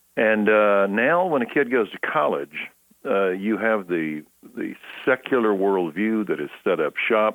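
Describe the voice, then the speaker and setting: The voice speaks with a Texan accent and lively intonation. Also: man. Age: 60s. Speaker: pastor. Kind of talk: interview.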